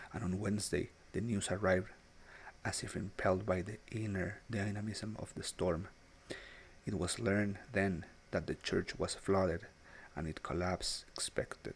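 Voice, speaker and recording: Soft-spoken and fairly low-pitched, a man keeps a moderate pace and fairly even intonation, broken by long, frequent pauses. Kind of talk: English-language literary narration. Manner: soft-spoken, relaxing.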